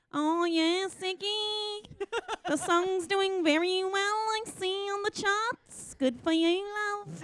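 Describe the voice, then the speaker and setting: A woman puts on a character voice in a Liverpool accent, pitched extremely high. She speaks at a very slow pace. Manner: warm, praising.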